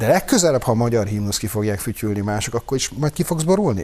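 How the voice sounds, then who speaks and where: Intonation rises and falls in a lively way. The delivery is very fast. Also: man. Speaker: panelist. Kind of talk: casual banter on a TV talk show.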